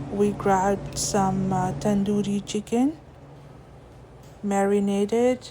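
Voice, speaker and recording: At a very slow pace with long, frequent pauses, a woman of medium pitch speaks over noticeable background noise. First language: Urdu. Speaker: lifestyle vlogger. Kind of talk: vlog voiceover narration. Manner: hesitant with fillers.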